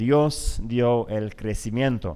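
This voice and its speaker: A man talks at a very slow pace. The recording is very clean, with a silent background. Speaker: conference speaker. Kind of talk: lecture. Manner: halting.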